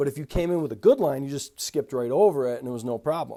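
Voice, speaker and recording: The tone is dark and mellow. The recording is very clean, with a silent background. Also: man. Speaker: ski racing commentator. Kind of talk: solo video commentary. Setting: single camera home recording. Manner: halting, stuttering; casual, filler-heavy.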